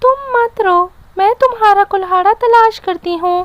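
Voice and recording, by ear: A woman's cartoonish character voice at an extremely high pitch. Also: moderate pace.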